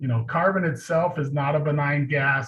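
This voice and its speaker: Noticeable background noise sits behind the voice. The intonation stays fairly even. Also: man. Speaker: community organizer, panelist. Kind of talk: panel presentation. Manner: fast.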